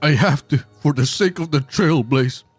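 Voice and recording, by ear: A put-on character voice from a man, moderately paced and fairly high-pitched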